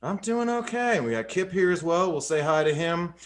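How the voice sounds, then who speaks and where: A man's normal speaking voice in an American accent, with lively intonation at a fairly quick pace. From Georgia, US South. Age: 30s. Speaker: podcast host. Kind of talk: podcast intro reading; casual chat. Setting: studio.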